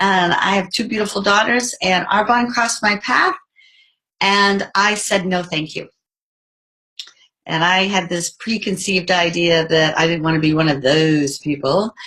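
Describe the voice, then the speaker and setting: A woman talks at a fairly slow pace with a medium pitch. Her tone is bright and sharp, with ordinary pitch variation. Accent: American. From United States. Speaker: network marketing leader. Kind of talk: business presentation.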